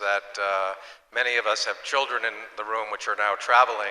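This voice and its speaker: Noticeable background noise sits behind the voice of a man talking. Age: 60s. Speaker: hospitality business executive. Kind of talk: panel discussion.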